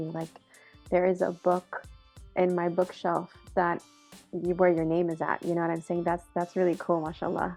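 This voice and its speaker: Over music in the background, a woman talks at a moderate pace in a fairly low pitch, her intonation flat and monotone. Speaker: executive director of a student and professional association. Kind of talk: casual interview questions.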